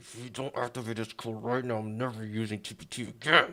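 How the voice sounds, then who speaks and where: A man's put-on character voice at medium pitch, with big swings in loudness, fairly even intonation and a fairly quick pace. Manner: menacing, tense, through gritted teeth.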